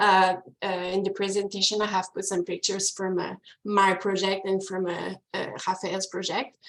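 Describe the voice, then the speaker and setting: A woman with a Quebec accent speaks at medium pitch. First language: French. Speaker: ecology researcher. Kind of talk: webinar presentation and Q&A. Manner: halting, many fillers.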